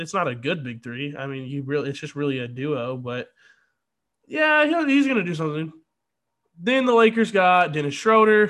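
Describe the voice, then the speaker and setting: A man talks at a moderate pace with lively intonation, and the recording is very clean with a silent background. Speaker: sports podcast host. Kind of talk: angry sports rant. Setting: solo podcast. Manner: indignant, disappointed, halting.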